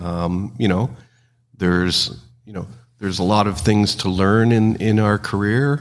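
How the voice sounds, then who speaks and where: A plain, everyday voice speaks at a fairly slow pace. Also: man. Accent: Canadian. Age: 60s. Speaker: trucking company executive, former mechanic. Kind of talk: interview.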